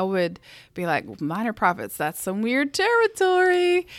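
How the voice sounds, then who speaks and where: A woman with a Southern US accent on a very clean recording with a silent background. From US South. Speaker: co-host.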